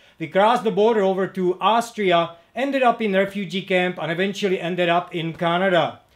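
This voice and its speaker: A high-pitched man with a Czech accent, ordinary pitch variation, and a moderate pace. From Czechoslovakia. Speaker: motorcycle mechanic and parts dealer. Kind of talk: video introduction. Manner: halting, many fillers.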